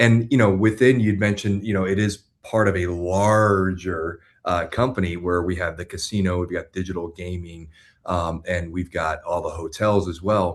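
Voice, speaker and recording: Against a quiet background, a man with a Florida accent talks at a moderate pace in a very deep, low pitch with fairly even intonation. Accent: American, Florida. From US, Florida (West Palm Beach). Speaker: business executive. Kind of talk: interview. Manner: hesitant, many fillers.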